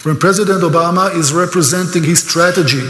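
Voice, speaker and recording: An Israeli accent at a moderate pace, with audible room echo and noticeable background noise. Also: man. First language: Hebrew. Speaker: speaker on Israel, tour guide. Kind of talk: lecture. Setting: church, stage with audience. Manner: animated.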